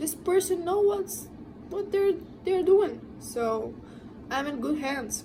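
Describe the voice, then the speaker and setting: Speaking with a non-native accent, a woman's high voice swings very widely in pitch at a very slow pace, with long, frequent pauses. Audible room echo and noticeable background noise fill the recording. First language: not English. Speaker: tattoo artist, vlogger. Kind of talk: advice monologue to camera.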